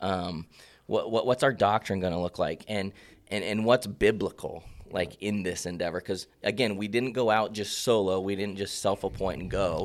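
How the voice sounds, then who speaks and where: A man speaks at a moderate pace in an ordinary speaking voice, his pitch fairly low, on a very clean recording with a silent background. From Central Oregon. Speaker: pastor. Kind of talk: casual chat.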